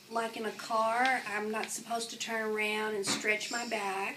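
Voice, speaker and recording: Noticeable background noise behind fairly slow speech. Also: woman. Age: 60s. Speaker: interviewee with osteoporosis. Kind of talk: interview.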